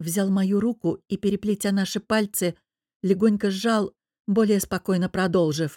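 Against a quiet background, the speaker does plain reading aloud with fairly even intonation.

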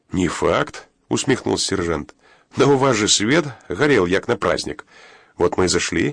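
Over a quiet background, the text is plainly read aloud with lively intonation.

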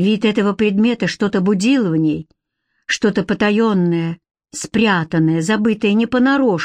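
The pitch shifts in an ordinary way as a natural reading voice carries over quiet surroundings.

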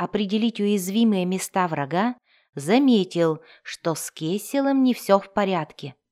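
Behind an unforced reading voice, the background stays silent.

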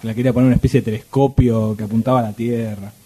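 At a very fast pace, a man speaks at medium pitch with a dark, mellow tone, a slightly husky edge and fairly even intonation.

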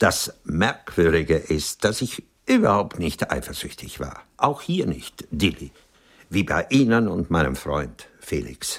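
A man puts on a character voice, low in pitch with a slightly husky edge. His pitch swings are big. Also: fairly slow pace.

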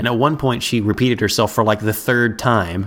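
A man with a medium pitch speaks at a fairly quick pace. It is an ordinary speaking voice. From Ohio, US Midwest. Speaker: podcast host. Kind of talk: casual chat.

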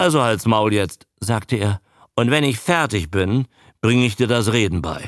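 Over a quiet background, a passage is read aloud in a natural voice with ordinary pitch variation.

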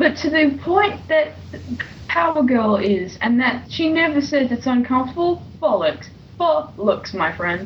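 A woman's high voice with a British accent, fairly slow and full of very wide pitch swings, over noticeable background noise. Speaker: comic book reviewer. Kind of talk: casual banter, reviewing a comic.

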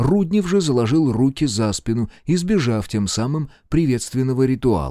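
The intonation stays lively as the passage is read aloud in a natural voice.

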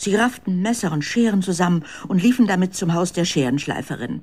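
Lively intonation carries a dark, mellow voice at a moderate pace.

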